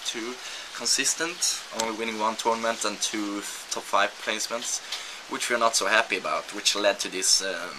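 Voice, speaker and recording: A man talks at a moderate speed, with noticeable noise in the background. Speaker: esports pro player, video blogger. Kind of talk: video blog.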